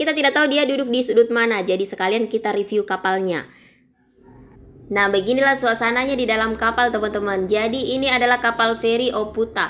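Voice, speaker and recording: A shrill woman at a very fast pace, fairly high in pitch, with ordinary pitch variation. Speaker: travel vlogger. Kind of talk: voice-over narration of travel video. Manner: casual, chatty.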